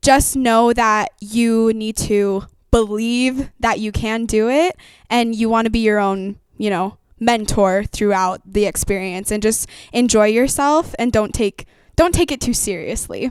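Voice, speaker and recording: Speaking slowly, a woman with an American accent has a fairly high pitch with ordinary variation and a plain, everyday voice. The recording is very clean, with a silent background. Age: young. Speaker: musical theatre performer. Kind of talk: interview.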